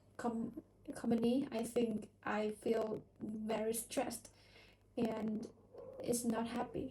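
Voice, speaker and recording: Speaking very slowly with a non-native accent, a woman has a fairly high pitch, a dark, mellow tone and monotone, flat intonation. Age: 20s. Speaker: English learner. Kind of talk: casual chat. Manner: halting.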